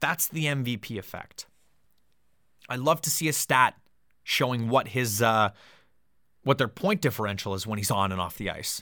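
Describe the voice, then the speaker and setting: With a Canadian accent and a bright, sharp tone, a man talks at a moderate pace with long, frequent pauses, recorded very cleanly against a silent background. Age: 20s. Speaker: hockey podcast host. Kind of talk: solo podcast commentary. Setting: home studio.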